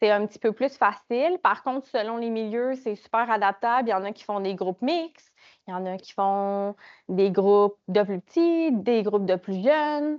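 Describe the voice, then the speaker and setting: In a Quebec accent, a woman speaks at a fairly high pitch with lively intonation and big swings in loudness. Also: moderate pace. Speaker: project officer presenting a program. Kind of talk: conference presentation. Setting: conference room with small audience. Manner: hesitant, many fillers.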